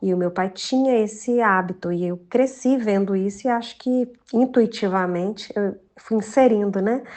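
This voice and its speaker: A woman with a mineiro accent talks at a moderate pace with hardly any pauses, her fairly high pitch showing ordinary variation. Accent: mineiro accent, preserved. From Minas Gerais, Brazil. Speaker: journalist and children's author. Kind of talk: podcast interview. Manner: warm, filler-heavy conversational.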